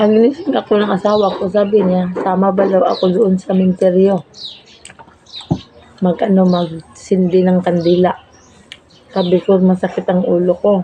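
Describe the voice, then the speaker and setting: The intonation is monotone and flat. Long, frequent pauses break up the speech. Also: woman, medium pitch for a woman, moderate pace. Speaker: vlogger. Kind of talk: casual vlog storytelling. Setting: at home, eating meal on camera. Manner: halting.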